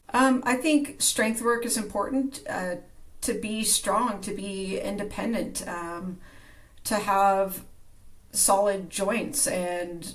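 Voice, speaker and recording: A woman talks at a medium pitch in a somewhat breathy voice. Her words echo audibly off the room. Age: 50s. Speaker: strength coach. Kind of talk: casual interview.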